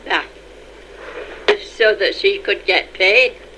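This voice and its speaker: With noticeable background noise behind her, a woman speaks in a Yorkshire accent. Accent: Yorkshire (Leeds). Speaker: retired mill worker. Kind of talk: oral history interview.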